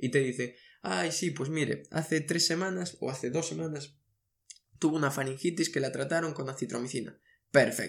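Here a man talks with a fairly high pitch and vocal fry. His pitch varies in an ordinary way at a moderate pace, on a very clean recording with a silent background. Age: 20s. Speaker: medical education podcaster. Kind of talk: lecture.

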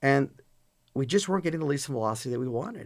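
Here is a man with an American accent. His voice is fairly high and his intonation lively. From Chicago area, US. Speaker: data center company CEO. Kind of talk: casual interview. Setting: studio.

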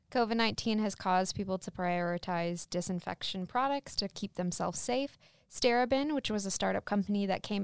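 In a very clean recording with a silent background, a woman talks at a fairly quick pace in a plain, everyday voice. The sound is dry and close with no echo, and her pitch varies in an ordinary way. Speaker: student podcast host. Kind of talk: reading aloud.

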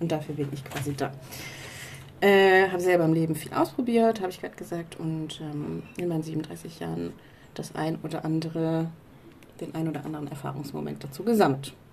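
Amid audible room echo, a woman with a very deep, low pitch talks at a fairly quick pace, with ordinary pitch variation and long, frequent pauses. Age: 30s. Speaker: podcast co-host, career mentor. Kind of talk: casual chat. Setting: outdoors on a balcony.

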